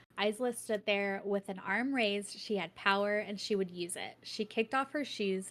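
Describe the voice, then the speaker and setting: A woman's medium-pitched voice at a moderate pace, with ordinary pitch variation, on a very clean recording with a silent background. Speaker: book podcast host. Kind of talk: reading aloud; casual chat. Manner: stumbling over words.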